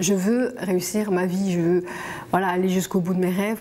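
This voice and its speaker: Noticeable background noise sits behind a woman with a medium-pitched voice. Her intonation is fairly even and her pace moderate. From Belgium, Walloon Brabant. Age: 40s. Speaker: interviewee sharing life story. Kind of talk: testimony. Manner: halting.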